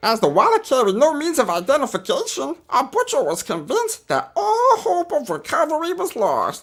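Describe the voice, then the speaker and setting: A put-on character voice pitched high. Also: moderate pace. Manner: silly, comedic.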